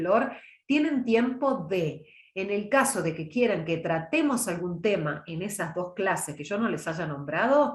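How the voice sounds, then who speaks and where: With audible room echo, a woman speaks at medium pitch and a fairly slow pace in a calm, somewhat breathy tone, her pitch swinging very widely. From Córdoba, Argentina (Las Varillas, Villa María). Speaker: oratory teacher and trained announcer. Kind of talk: online lecture. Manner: calm, conversational.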